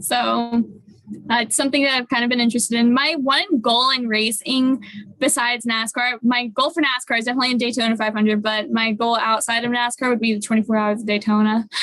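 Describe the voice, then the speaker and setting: A woman's fairly high voice at a very fast pace, with very even loudness, fairly even intonation, and noticeable background noise. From Australia, moved to US (California) when young. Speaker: racing driver. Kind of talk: interview.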